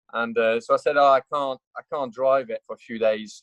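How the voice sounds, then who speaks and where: A man is speaking. He has a French accent. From France. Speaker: motorcycle racer and test rider. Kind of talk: casual chat. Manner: halting, many fillers.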